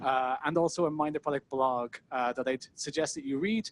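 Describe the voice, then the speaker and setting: The voice carries an Irish accent at a moderate pace with ordinary pitch variation. The sound is dry and close with no echo. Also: man. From Ireland. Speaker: product manager, conference speaker. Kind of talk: talk at a meetup. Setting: stage with audience.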